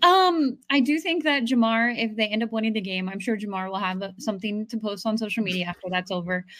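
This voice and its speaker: A woman with an ordinary speaking voice talks at a fairly high pitch and fairly quick pace. Her intonation is lively, with hardly any pauses. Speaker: podcast co-host. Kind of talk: casual sports talk podcast.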